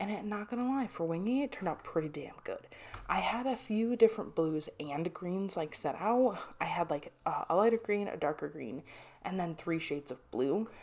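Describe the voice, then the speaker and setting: A soft-spoken woman talks at a moderate pace. Her intonation is lively. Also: medium pitch for a woman. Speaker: artist and craft channel creator. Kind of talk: casual voiceover over drawing footage. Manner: rambling with frequent restarts.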